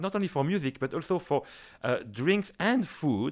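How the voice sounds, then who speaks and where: With a French accent, a man talks at a moderate pace. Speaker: orchestra conductor. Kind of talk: interview. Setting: studio.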